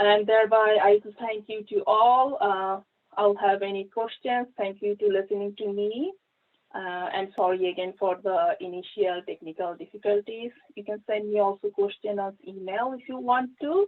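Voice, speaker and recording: An ordinary speaking voice from a woman, medium in pitch, at a moderate pace, with big swings in loudness and ordinary pitch variation. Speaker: plant pathology research scientist. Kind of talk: conference presentation with Q&A.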